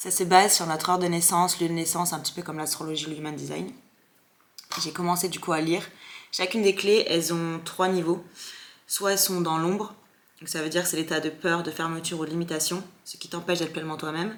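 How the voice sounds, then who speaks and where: A woman's fairly low voice at a very fast pace, with long, frequent pauses, big swings in loudness and noticeable background noise. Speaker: content creator. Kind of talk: casual vlog chat. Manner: animated.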